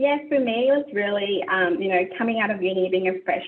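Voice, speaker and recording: A woman talks at a fairly quick pace with ordinary pitch variation. It is a plain, everyday voice. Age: young. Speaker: procurement professional. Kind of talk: panel interview.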